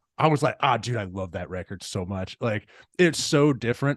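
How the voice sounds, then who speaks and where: A man with an American accent talks at a fairly quick pace and medium pitch, with very wide pitch swings. The recording is very clean with a silent background, the sound dry and close with no echo. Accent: slight Texas accent, mostly hidden. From Texas. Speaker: podcast host. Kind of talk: casual interview chat. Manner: casual, laid-back.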